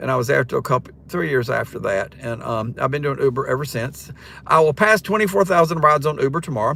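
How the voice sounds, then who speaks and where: In a Southern US accent, a man talks very fast with a bright, sharp tone. His pitch is fairly high, and vocal fry comes through. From North Carolina, Siler City. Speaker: rideshare driver and retired teacher doing a livestream. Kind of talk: casual livestream chat. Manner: hesitant, many ums and restarts.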